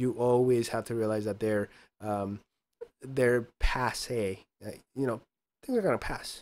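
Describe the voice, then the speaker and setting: A man talks at a very slow pace. His intonation stays fairly even. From Mexico (Chihuahua). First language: Spanish. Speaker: podcast co-host or guest. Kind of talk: casual chat. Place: home room. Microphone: studio mic.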